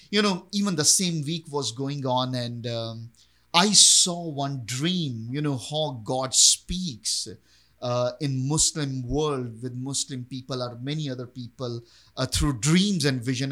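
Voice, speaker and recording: A man talks at a very slow pace with a Pakistani accent. His voice is fairly high, with a bright, sharp tone. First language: Urdu. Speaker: pastor. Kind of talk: interview testimony.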